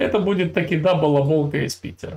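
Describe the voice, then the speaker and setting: This man talks at a fairly slow pace. His pitch is fairly high. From Russia. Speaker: video channel host. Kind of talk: casual chat with a stranger, heated debate. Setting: California, USA. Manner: teasing, provocative. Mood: mocking, lecturing. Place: home room. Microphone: earbuds.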